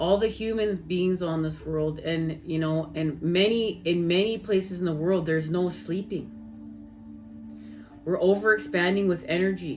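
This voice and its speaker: A Canadian accent at a moderate pace, fairly even intonation, and music in the background. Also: woman, fairly low pitch for a woman. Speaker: spiritual tarot reader. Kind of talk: casual spiritual vlog talk.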